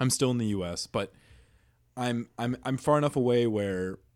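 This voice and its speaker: A man with an American accent speaks in a plain, everyday voice. He keeps a moderate pace with ordinary pitch variation. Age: 20s. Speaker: college student, roommate. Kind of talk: casual chat. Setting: apartment room, video podcast.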